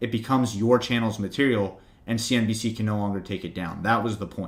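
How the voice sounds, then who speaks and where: With an American accent, a man has an unremarkable speaking voice at a medium pitch, ordinary pitch variation and a moderate pace. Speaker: finance YouTuber. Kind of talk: livestream Q&A with chat. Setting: home livestream with webcam. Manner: casual, many fillers. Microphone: new good microphone.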